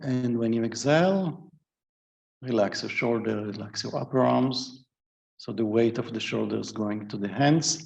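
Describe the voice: A man's slightly mellow voice with vocal fry, ordinary pitch variation and a fairly slow pace.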